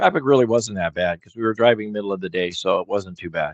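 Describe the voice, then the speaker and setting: A man with an ordinary speaking voice talks at a medium pitch with ordinary pitch variation, in a dry, close sound with no echo. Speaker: sports betting streamer. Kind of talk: live stream commentary. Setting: live stream.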